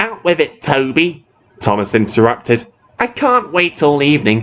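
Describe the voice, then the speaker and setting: A man puts on a character voice at a fairly high pitch, talking at a moderate pace with very wide swings in pitch. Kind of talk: read story. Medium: read story. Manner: impatient, dismissive.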